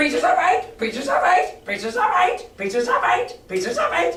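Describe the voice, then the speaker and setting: A shrill, fairly high put-on character voice at a moderate pace, with slight echo. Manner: repetitive, clacking without pause.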